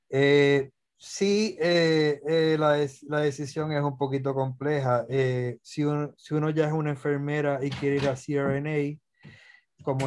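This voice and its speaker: A man speaks at a fairly slow pace. His fairly high voice stays monotone, with flat intonation. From Puerto Rico. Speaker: anesthesiologist; guest. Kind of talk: lecture; interview answer. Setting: video call. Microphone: webcam.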